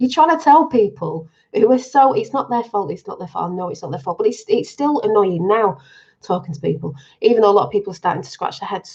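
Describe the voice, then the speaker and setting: In a raspy, put-on character voice with a fairly high pitch, the speaker rattles along at a very fast pace in an excited tone. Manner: talking fast, excited.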